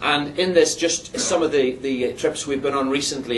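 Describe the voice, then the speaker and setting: Against noticeable background noise and audible room echo, a man with a fairly high voice speaks at a moderate pace with ordinary pitch variation. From Ireland, border area, later Northern Ireland. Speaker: missionary preacher. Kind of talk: testimony. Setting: church. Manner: halting, repeats words.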